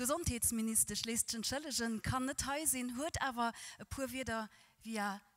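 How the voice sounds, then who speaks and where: At a moderate pace, a woman talks in a fairly high pitch against a quiet background. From Luxembourg. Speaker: event presenter; presenter. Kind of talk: event moderation. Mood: warm, welcoming. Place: hall. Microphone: handheld.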